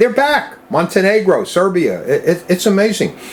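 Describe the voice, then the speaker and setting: A man speaks in an American accent with very wide pitch swings. There is noticeable background noise. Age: 70s. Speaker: rare-coin dealer. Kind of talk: interview. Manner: conversational, with fillers.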